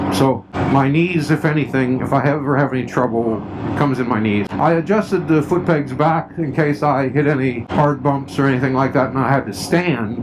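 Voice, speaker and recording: A man at medium pitch talks at a moderate pace with ordinary pitch variation against noticeable background noise. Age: 60s. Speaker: motorcycle vlogger. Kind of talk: riding commentary vlog. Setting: outdoors riding a three-wheeled motorcycle. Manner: casual, conversational.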